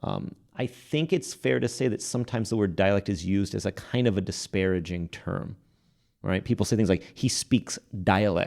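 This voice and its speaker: On a very clean recording with a silent background, a man with a fairly low pitch and a dark, mellow tone talks at a moderate pace with lively intonation and vocal fry. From Texas, Fort Worth. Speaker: linguistics professor. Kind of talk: podcast interview. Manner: hesitant, many fillers.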